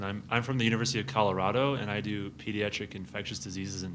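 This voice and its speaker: Amid noticeable background noise and audible room echo, a man speaks very fast in a fairly low voice with fairly even intonation. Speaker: pediatric infectious disease physician and researcher. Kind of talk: academic presentation. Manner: loud.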